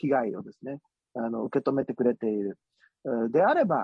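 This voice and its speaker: Using an ordinary speaking voice, a man of medium pitch speaks with ordinary pitch variation. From Osaka. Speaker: politician. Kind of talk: interview. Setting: remote call.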